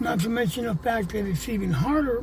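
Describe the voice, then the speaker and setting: Noticeable background noise sits behind the speech. The pace is moderate and the intonation lively. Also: man. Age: 60s. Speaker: homeless veteran. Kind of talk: interview testimony.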